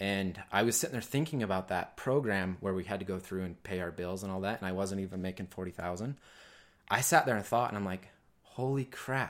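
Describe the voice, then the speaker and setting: A man with an American accent has a plain, everyday voice at a fairly low pitch. The recording is very clean, with a silent background. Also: ordinary pitch variation, fairly quick pace. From rural Utah. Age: 20s. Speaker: business owner. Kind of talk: casual interview.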